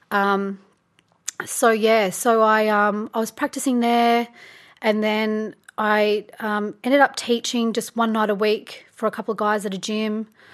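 Speaking rather unhurriedly, a woman talks with an Australian accent. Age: 30s. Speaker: photographer and yoga teacher. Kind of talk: casual interview.

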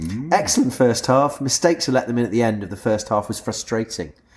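The man's voice carries a creaky vocal fry. Nothing else can be heard in this very clean recording. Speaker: podcast host. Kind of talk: casual chat. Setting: pub taproom.

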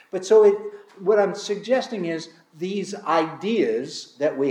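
A man is speaking. His pitch swings very widely. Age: 60s. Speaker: pastor. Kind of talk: sermon. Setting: church. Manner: halting.

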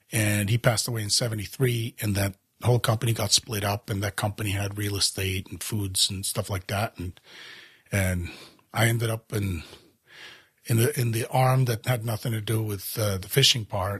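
Somewhat breathy and fairly low-pitched, a man is heard on a very clean recording with a silent background. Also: fairly even intonation, moderate pace, dry, close sound with no echo. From Europe, raised across several countries. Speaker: fly reel company founder. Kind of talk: casual interview.

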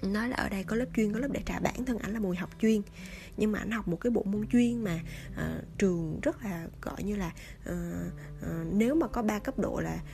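Noticeable background noise surrounds a woman speaking at a fairly quick pace. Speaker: podcast host. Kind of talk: storytelling monologue. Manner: casual, many fillers.

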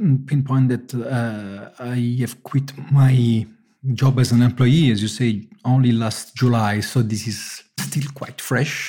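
A man's very slow, medium-pitched speech with music in the background. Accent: Italian. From Italy (Naples). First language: Italian. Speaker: engineer turned pizza maker. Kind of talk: interview. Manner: halting.

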